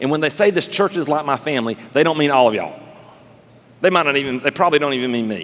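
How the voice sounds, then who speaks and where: With a Southern US accent, a man speaks at a fairly high pitch using lively intonation. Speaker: pastor. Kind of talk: sermon. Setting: church service with live congregation. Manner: fast; animated, conversational.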